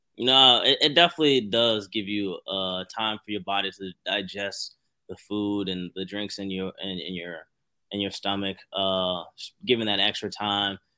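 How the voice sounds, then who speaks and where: A man with a plain, everyday voice at a fairly low pitch, ordinary pitch variation and big swings in loudness. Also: moderate pace. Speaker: former college wrestler and grad assistant coach. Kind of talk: casual interview chat.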